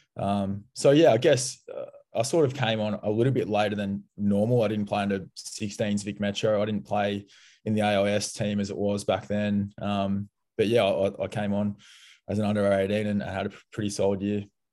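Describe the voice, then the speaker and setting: A man with an Australian accent speaks at a moderate pace in a fairly low pitch, with fairly even intonation, a dark, mellow tone and a quiet background. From Melbourne, Australia. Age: 20s. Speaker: former football player, player manager. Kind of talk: interview.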